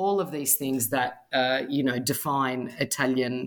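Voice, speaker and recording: A woman with an Australian accent, very deep and low in pitch, at a moderate pace. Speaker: author and food blogger. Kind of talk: casual interview chat.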